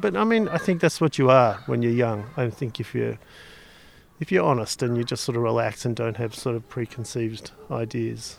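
Speaking at a fairly quick pace, a man with an Australian accent uses lively intonation. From Australia (Victoria, Melbourne). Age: 60s. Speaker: sculptor. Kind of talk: interview. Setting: outdoors.

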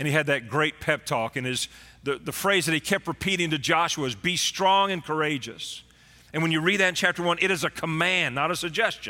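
A man's fairly quick, animated voice with a Texan accent, fairly high pitch, ordinary pitch variation and a bright, sharp tone. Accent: Texan American. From Texas. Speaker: pastor. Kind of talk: sermon. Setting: church streamed online.

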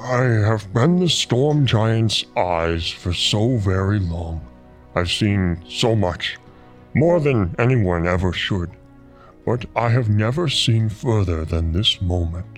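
A man puts on a character voice at a fairly low pitch. He goes at a fairly slow pace while music plays clearly in the background. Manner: solemn, weary, mystical.

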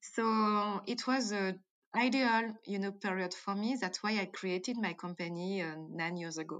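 A woman with a French accent at medium pitch, moderate pace and ordinary pitch variation, in a very clean recording with a silent background. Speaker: entrepreneur and founder of a banana-based cosmetics company. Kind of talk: interview answers. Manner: halting, with fillers and hesitations.

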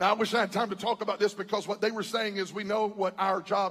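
A man with a high voice talks in an animated way at a fairly quick clip. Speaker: preacher. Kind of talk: sermon, preacher in full flow with call-and-response. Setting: church with a live congregation. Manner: animated, fiery, crowd-working, with humor and exhortation.

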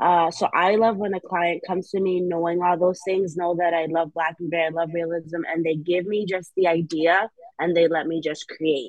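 Using a monotone, flat intonation, a woman with an American accent and a fairly low pitch talks at a moderate pace with hardly any pauses. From New Haven, Connecticut. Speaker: tattoo artist. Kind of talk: casual interview.

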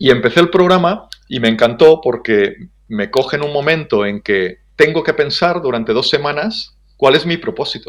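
A man with a normal speaking voice uses lively intonation at a fairly high pitch. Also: moderate pace. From Spain, Ebro Delta (Catalonia). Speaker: business development manager. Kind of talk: interview.

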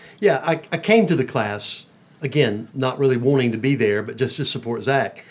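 Talking at a moderate pace in an ordinary speaking voice, a man with an American accent uses lively intonation at a medium pitch. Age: 60s. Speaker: pastor. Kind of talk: casual chat. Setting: studio.

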